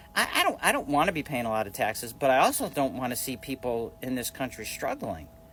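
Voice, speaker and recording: Barely pausing, a man with a medium pitch speaks at a very fast pace with ordinary pitch variation over noticeable background noise. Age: 60s. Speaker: social media commentator. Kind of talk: casual vlog rant. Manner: halting, repetitive.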